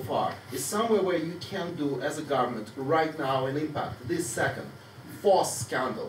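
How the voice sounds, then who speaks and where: A man with a fairly high pitch talks at a fairly quick pace with lively intonation, amid audible room echo and noticeable background noise. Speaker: audience member. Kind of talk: heated debate. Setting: public meeting hall. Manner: loud; animated.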